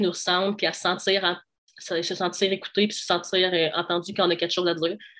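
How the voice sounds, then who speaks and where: Someone talks at a fairly quick pace over a quiet background. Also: woman. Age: 20s. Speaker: law student. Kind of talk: interview.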